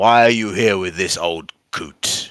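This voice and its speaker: This man puts on a character voice. It is raspy and fairly low in pitch. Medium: actual play. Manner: curt, hostile.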